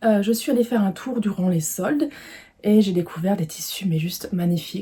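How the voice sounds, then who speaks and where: A woman talks at a moderate pace and a medium pitch. Her pitch variation is ordinary. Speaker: sewing vlogger. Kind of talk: casual video presentation, fabric haul. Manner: hesitant, many fillers (euh) and repetitions.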